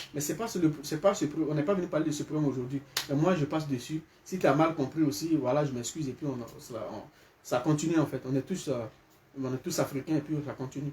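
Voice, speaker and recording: This man speaks at a very fast pace. His pitch is fairly high with ordinary variation. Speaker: live streamer. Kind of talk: live stream commentary. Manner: animated; loud.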